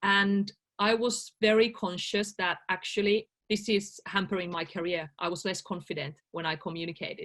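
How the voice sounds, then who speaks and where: Speaking in a Finnish accent, a woman with a medium pitch keeps a moderate pace and ordinary pitch variation. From Finland. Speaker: life coach. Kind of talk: interview.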